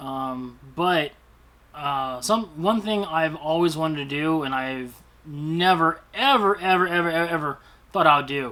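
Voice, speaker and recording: At a fairly slow pace, a man talks in a bright, sharp tone with ordinary pitch variation. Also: fairly high pitch for a man. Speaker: YouTuber, toy collector vlogger. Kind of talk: casual vlog monologue. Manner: stutters; halting, many fillers.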